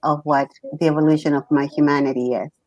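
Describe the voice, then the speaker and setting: This woman's voice sits at a very deep, low pitch. She holds a monotone, flat intonation at a moderate pace. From Chile. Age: 60s. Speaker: poet and spiritual healer. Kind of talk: talk show interview.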